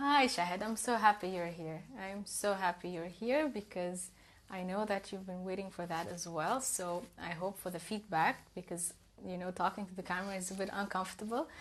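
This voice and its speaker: A woman speaks in a Russian accent. Her pitch sits at a medium level. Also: ordinary pitch variation, moderate pace. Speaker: self-development coach. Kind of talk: live stream talk. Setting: Instagram live stream.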